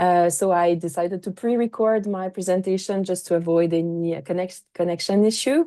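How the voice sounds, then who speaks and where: A woman talks in a Quebec accent at a fairly quick pace and medium pitch. Her tone is dark and mellow, her intonation fairly even, and the background quiet. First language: French. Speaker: astrophysicist and science educator. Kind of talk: pre-recorded conference presentation. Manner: halting, many fillers.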